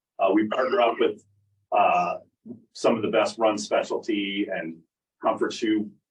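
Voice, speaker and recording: A man talks at a fairly slow pace, stopping often for long pauses. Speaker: footwear technology sales rep. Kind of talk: product presentation. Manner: loud.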